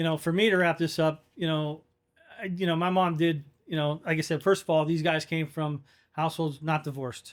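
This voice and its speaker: This man has a normal speaking voice, fairly high in pitch, with fairly even intonation and a fairly quick pace. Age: 40s. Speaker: podcast co-host. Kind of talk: casual chat.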